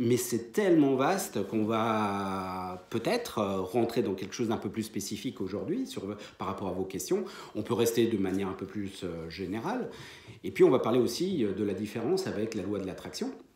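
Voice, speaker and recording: Audible room echo surrounds a man's fairly low voice as he talks at a moderate pace with ordinary pitch variation. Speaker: medium and spiritual teacher. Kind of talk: lecture. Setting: conference hall with audience. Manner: hesitant, many fillers.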